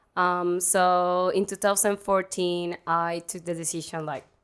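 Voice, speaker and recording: At a fairly slow pace, a woman with a medium pitch speaks in a Spanish accent on a very clean recording with a silent background. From Venezuela, Maracaibo. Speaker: Spanish teacher. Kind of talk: interview. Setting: studio.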